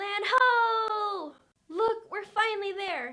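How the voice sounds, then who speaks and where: An extremely high-pitched, squeaky put-on character voice at a very slow pace. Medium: cartoon.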